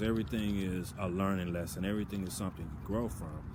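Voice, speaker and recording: Audible room echo surrounds a man speaking with a Southern US accent at a fairly low pitch. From US South. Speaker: video blogger. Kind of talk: casual monologue. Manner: halting, filler-heavy.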